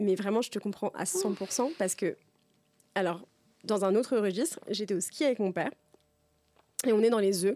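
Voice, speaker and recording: A woman with a dark, mellow tone and medium pitch speaks at a moderate pace with ordinary pitch variation and long, frequent pauses. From France, Tours region. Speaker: podcast host. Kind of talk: casual chat.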